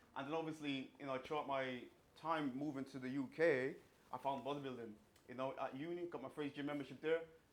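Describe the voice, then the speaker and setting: Talking at a fairly quick pace, a man with a fairly high pitch and a slight Irish accent keeps his intonation fairly even. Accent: slight Irish twang. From Ireland, countryside. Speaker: fitness coach and bodybuilder. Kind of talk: seminar talk. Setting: small room with live audience.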